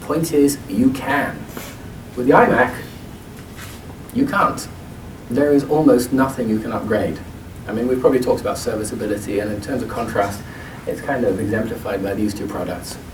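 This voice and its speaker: A man with an English accent speaks at a moderate pace and medium pitch with ordinary pitch variation, taking long, frequent pauses amid noticeable background noise and audible room echo. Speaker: product marketing demonstrator. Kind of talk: product demo presentation.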